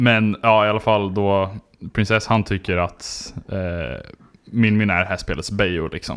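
A man with an ordinary speaking voice, fairly low pitch and fairly even intonation at a fairly slow pace, recorded very cleanly against a silent background. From southern Sweden (Skåne). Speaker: podcast host. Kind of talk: casual chat.

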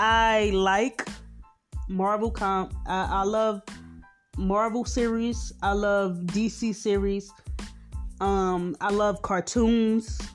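With music in the background, a woman in a Philadelphia accent speaks at a very slow pace with long, frequent pauses, very even loudness and monotone, flat intonation. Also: medium pitch for a woman. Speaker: podcast host. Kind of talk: casual slang.

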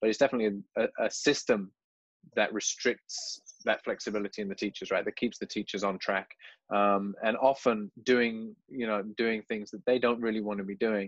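A man at a moderate pace with fairly even intonation, in a dry, close sound with no echo and a quiet background. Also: medium pitch for a man. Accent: English Midlands. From English Midlands. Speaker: teacher and podcast host. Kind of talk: casual interview.

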